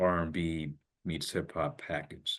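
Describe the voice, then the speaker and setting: Man with a very deep, low pitch. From US, Indian-American. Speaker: hip-hop artist. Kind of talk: interview. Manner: animated.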